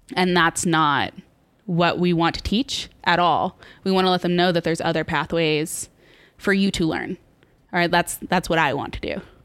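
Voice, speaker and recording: A woman's normal speaking voice, fairly low in pitch, with fairly even intonation and a moderate pace, on a very clean recording with a silent background. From Texas (College Station). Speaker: museum content developer. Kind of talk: casual interview conversation.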